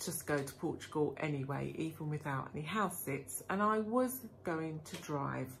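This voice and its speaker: A woman with a very deep, low pitch speaks at a moderate pace, somewhat breathy, with lively intonation. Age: 50s. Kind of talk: casual vlog talk to camera.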